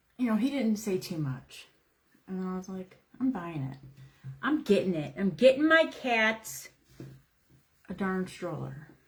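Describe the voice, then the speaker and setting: A woman speaks loudly with very wide swings in pitch. She leaves long, frequent pauses. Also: medium pitch for a woman, fairly slow pace. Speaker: craft livestream host. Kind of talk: live craft tutorial with casual chat.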